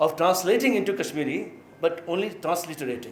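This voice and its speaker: Amid audible room echo, a man with an Indian accent talks at a fairly quick pace in a high pitch. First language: Maithili. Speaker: professor. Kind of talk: lecture. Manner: halting.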